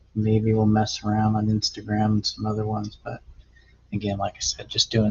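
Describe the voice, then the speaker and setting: A man mumbles his words. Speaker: amateur triathlete vlogger. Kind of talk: casual video log. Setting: home garage, talking to camera. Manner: mumbling; hesitant, filler-heavy.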